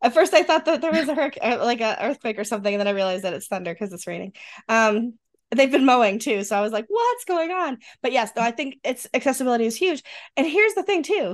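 Very fast and high, a woman speaks with a slight western New York accent and very wide pitch swings against a quiet background. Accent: Rochester, western New York, slight.

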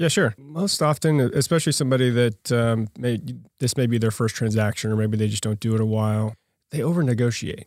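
A man with an American accent talks at a fairly quick pace. His medium-pitched voice is a plain, everyday voice. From Oklahoma (Yukon). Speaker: commercial real estate broker. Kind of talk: casual interview.

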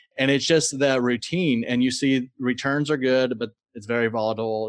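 Speaking at a moderate pace, a man uses an ordinary speaking voice at a medium pitch with ordinary pitch variation. The recording is very clean, with a silent background. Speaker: podcast host. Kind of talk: scripted intro then interview chat.

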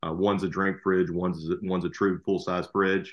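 A man's fairly low voice with a Southern US accent. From Alabama, US South. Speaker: lawyer and rental property investor. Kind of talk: casual chat.

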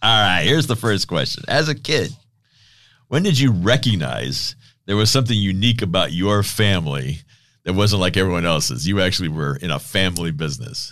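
Over a quiet background, a man with a very deep, low pitch and vocal fry talks at a fairly quick pace, his pitch swinging very widely. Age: 60s. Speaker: podcast host. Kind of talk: interview.

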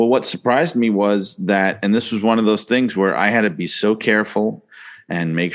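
This man has a fairly low pitch and an unremarkable speaking voice, moving at a moderate pace. His intonation stays fairly even against a quiet background. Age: 40s. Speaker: author. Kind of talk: interview.

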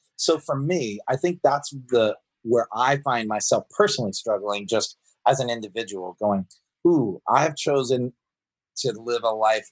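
A man with an American accent speaks in a normal speaking voice at medium pitch and a fairly slow pace, with ordinary pitch variation and a dry, close sound with no echo. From US South, Georgia. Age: 40s. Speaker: pastor. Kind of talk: casual interview.

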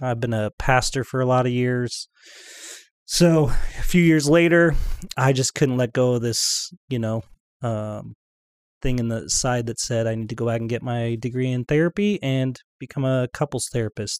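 Pitch varies in an ordinary way as an ordinary speaking voice moves along at a moderate pace. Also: man, medium pitch for a man. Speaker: marriage and family therapist. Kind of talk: podcast interview.

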